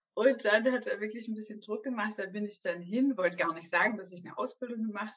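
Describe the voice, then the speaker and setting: At a fairly quick pace, a woman speaks at a medium pitch in a plain, everyday voice. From southwestern Germany, Stuttgart area. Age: 30s. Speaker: ballet teacher and entrepreneur. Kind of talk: interview. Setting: video call.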